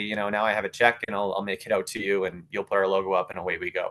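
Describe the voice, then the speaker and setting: A man with a Canadian accent, fairly low in pitch, bright and sharp in tone, at a very fast pace. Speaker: sponsorship consultant. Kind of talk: webinar presentation.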